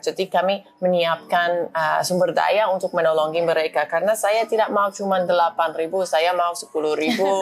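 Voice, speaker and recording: A woman speaks with an English accent. Her pitch is fairly low and her pace is moderate. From US, Boston. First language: English (speaking Indonesian). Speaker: US cultural attaché. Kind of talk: interview. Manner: halting, frequent fillers.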